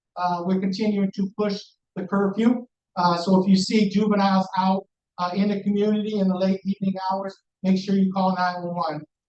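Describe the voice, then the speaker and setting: Loud and monotone, a man speaks fairly quickly at a high pitch with flat intonation. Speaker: police commander. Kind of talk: community meeting report.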